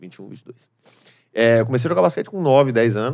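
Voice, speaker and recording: This man talks at a fairly quick pace in a medium pitch. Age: 30s. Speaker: stand-up comedian. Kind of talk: casual chat.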